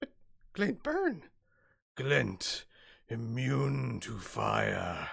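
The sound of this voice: A raspy, put-on character voice speaks at a very slow pace. Long pauses come often.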